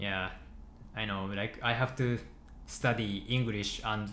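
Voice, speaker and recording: With a Japanese accent, a man speaks fairly slowly at a fairly low pitch in a bright, sharp tone. His intonation stays fairly even, and the room echo is audible. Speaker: software developer streaming live coding. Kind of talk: casual chat with live stream viewers. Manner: halting, with frequent self-corrections.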